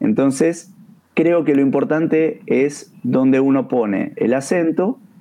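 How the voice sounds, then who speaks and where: This man speaks at a fairly high pitch. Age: 50s. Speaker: taekwondo instructor. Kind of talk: educational discussion.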